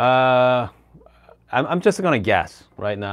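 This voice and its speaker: A man's voice with very wide pitch swings and a fairly slow pace. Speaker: coffee YouTuber. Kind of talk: live stream product demo. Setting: live stream at home. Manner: casual, halting with fillers. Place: home room. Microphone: lapel.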